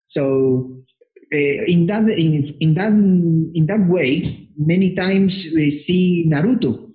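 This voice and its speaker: A man with a Spanish accent speaks at a very slow pace in a high pitch, with ordinary pitch variation and very even loudness. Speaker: anime convention organizer. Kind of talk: interview. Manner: halting.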